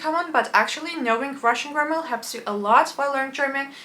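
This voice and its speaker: A woman speaks over noticeable background noise. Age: young. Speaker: polyglot language learner. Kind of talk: casual talk to camera.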